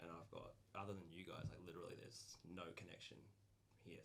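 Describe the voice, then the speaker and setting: A man with a very deep, low pitch speaks very fast and with fairly even intonation, with audible room echo around him. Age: 20s. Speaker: game master. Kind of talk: casual chat.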